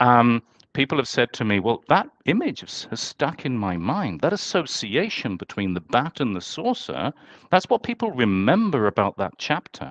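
A man in a southern English accent talks at a moderate pace with very wide pitch swings, the sound dry with no echo and the background quiet. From England, London. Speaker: author and UFO historian; podcast guest. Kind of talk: interview. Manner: halting, many repeated words. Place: home room. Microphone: headset.

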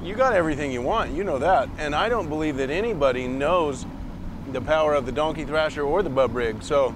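A man at a fairly quick pace, dry sound with no echo, and noticeable background noise. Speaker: bait maker host. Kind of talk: casual banter. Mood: joking, friendly teasing. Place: boat.

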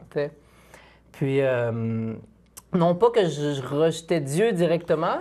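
Dark, mellow tone and lively intonation from a man. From Quebec, Île d'Orléans; Quebec. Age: 20s. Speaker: philosophy doctoral student and speaker; speaker. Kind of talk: testimony. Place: studio.

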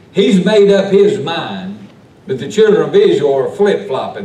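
A man speaks at a moderate pace in a room with audible echo and light background noise. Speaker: pastor. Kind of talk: sermon. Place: church. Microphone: camera far.

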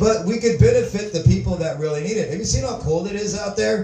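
Lively intonation marks a man speaking at a moderate pace, with audible room echo and light background noise. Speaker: open mic comedian. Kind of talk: stand-up comedy routine. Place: stage.

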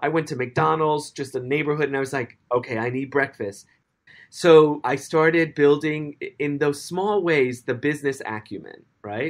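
In a very clean recording with a silent background, a man with an American accent uses a normal speaking voice, fairly high in pitch, with ordinary pitch variation at a fairly slow pace. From US Northeast, the Bronx, New York City. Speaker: dance company director. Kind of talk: interview.

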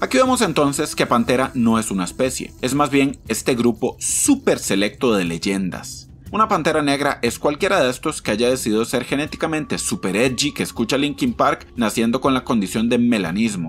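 At a moderate pace and medium pitch, a man talks with lively intonation, vocal fry and hardly any pauses. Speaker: comedian. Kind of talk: comedic wildlife documentary narration. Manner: irreverent, sarcastic.

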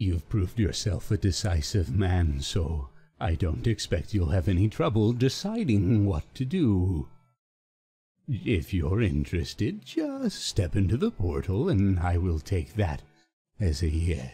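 A man puts on a character voice with a very deep, low pitch at a fairly slow pace. The recording is very clean, with a silent background. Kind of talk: mock-ominous video game impression. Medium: solo performance. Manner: slow, measured, unsettling, oddly phrased pauses; smug, quietly menacing.

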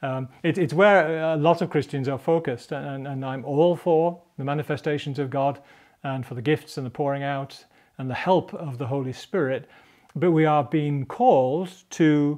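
Against quiet surroundings, a man speaks at moderate speed and varies his pitch in an ordinary way. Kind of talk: devotional teaching talk. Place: studio. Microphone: lapel.

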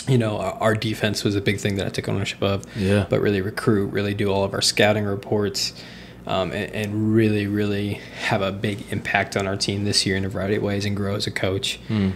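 Noticeable background noise sits behind a man with an American accent who speaks fairly quickly at a fairly low pitch in a monotone, flat intonation. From US Midwest, Indiana. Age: 20s. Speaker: basketball coach. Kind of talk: casual interview, faith testimony. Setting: studio. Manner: halting, many fillers.

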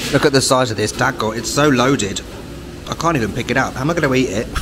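A man at a fairly quick pace, ordinary pitch variation, noticeable background noise behind him. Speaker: food vlogger. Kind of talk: casual vlog chat. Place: cafe. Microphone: phone near.

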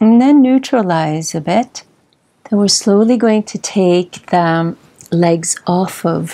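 Very slowly, a woman speaks in a dark, mellow tone. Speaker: yoga instructor. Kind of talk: guided yoga instruction. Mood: calm, soothing. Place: home room.

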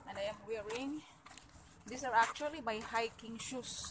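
Over noticeable background noise, the woman's pitch varies in an ordinary way. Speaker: vlogger. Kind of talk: casual vlog chat. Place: street. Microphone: phone near.

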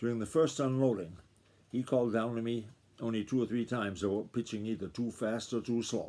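The intonation is fairly even. The reading aloud is plain.

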